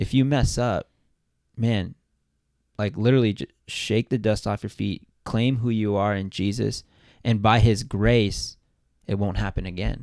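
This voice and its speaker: A man with an American accent talks at a fairly low pitch and a fairly slow pace, leaving long, frequent pauses. His intonation is fairly even, and the recording is very clean with a silent background. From Texas, New Braunfels. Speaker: podcaster and church member. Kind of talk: casual chat.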